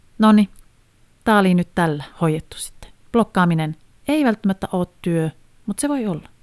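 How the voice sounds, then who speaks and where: A woman speaks at a fairly slow pace with fairly low pitch and lively intonation, in a dry, close sound with no echo. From Finland, Haapajärvi (Northern Ostrobothnia). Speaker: podcaster and family blogger. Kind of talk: casual monologue. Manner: animated.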